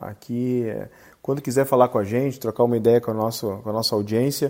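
A very clean recording, silent in the background, holds a man's dark, mellow tone at a medium pitch. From Rio Grande do Sul, Brazil. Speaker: podcast host, company CEO. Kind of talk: interview.

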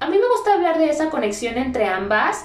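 Audible room echo colors this recording. Noticeable background noise surrounds the woman talking. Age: 20s. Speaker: podcast host and teacher. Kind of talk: solo podcast monologue.

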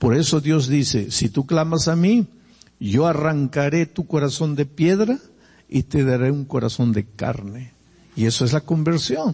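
Somewhat breathy and fairly high-pitched, a man speaks fairly slowly with lively intonation and very even loudness. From Peruvian Andes. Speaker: pastor. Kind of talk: sermon. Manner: conversational.

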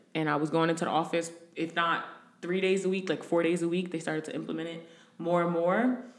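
Amid noticeable background noise and audible room echo, a woman with an American accent talks at a very fast pace in a fairly low pitch. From New Jersey. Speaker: recruiter. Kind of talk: casual chat.

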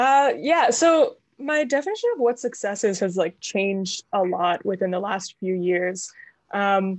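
A woman with a Canadian accent has an ordinary speaking voice. She talks at a medium pitch with lively intonation. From Canada. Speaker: mental health professional and actor. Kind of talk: casual interview chat.

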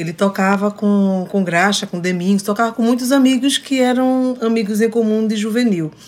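A woman's normal speaking voice, fairly high in pitch, with ordinary pitch variation, a moderate pace and hardly any pauses. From Recife, Brazil. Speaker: singer-songwriter. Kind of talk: casual chat, interview with duet. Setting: radio studio.

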